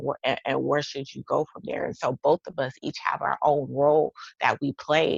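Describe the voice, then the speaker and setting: A woman with a Texas accent speaks at a moderate pace in an animated tone. The sound is dry and close, with no echo. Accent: Texas twang. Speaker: life coach and author. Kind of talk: casual chat.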